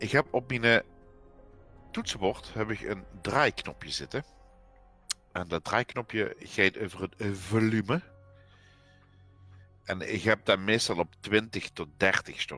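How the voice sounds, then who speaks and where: A man with a Limburg accent and a fairly low pitch with ordinary variation speaks at a very slow pace, leaving long, frequent pauses. Music plays in the background, and the sound is dry and close with no echo. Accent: Limburgish dialect. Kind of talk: casual gaming livestream chat.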